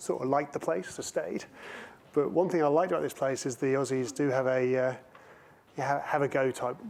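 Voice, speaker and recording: Speaking with fairly even intonation, a man goes at a very fast pace. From England. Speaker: panel moderator and auditor. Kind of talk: conference panel discussion.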